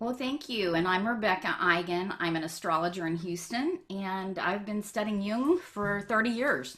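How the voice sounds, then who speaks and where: With an unremarkable speaking voice, a woman keeps a moderate pace and a medium pitch, her intonation lively and hardly any pauses. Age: 60s. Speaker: astrologer. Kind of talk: casual chat.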